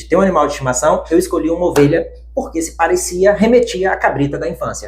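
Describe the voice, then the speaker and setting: Here a man talks at a fairly quick pace. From Bahia backlands, Brazil. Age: 30s. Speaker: bank worker, pet sheep owner. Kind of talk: interview, personal story.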